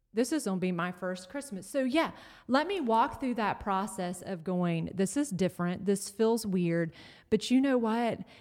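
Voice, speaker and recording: An unremarkable speaking voice: a woman with an American accent and a fairly high pitch. She keeps a moderate pace and ordinary pitch variation on a very clean recording with a silent background. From North Carolina. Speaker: pastor's wife. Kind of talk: casual chat.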